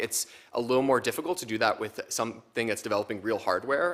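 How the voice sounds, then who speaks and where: A man's medium-pitched voice, bright and sharp in tone, at a very fast pace. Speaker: expert witness. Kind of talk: testimony.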